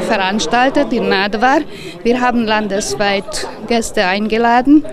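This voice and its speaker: Loud background noise surrounds a woman speaking at a fairly slow pace, her sound dry with no echo. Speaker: event organiser. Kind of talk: interview answer. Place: street. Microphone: handheld.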